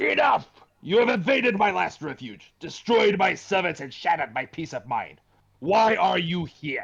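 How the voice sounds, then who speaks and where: A man uses a put-on character voice, pitched high and delivered at a moderate pace. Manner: angry, commanding.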